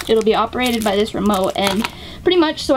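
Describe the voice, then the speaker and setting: Noticeable background noise surrounds a woman whose high-pitched voice carries lively intonation. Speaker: gaming vlogger. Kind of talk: casual vlog. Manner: fast.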